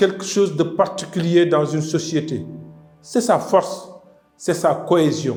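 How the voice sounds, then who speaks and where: Very slowly and at a high pitch, a man speaks with ordinary pitch variation as music plays in the background. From Senegal. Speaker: president of an ecologist political party. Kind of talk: political address to the nation.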